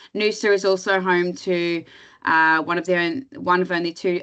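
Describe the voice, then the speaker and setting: An unremarkable speaking voice at a moderate pace. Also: woman. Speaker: tourism destination representative. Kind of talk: webinar presentation. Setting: online webinar.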